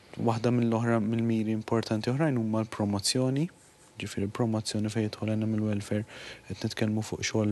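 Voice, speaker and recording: A man's monotone, flat intonation holds at a medium pitch while he keeps a moderate pace. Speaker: animal welfare official. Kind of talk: TV interview.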